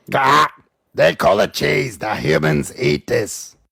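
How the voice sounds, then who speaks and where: A man puts on a character voice that is raspy and fairly low in pitch. He speaks at a fairly slow pace. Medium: read story. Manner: snappish, haughty.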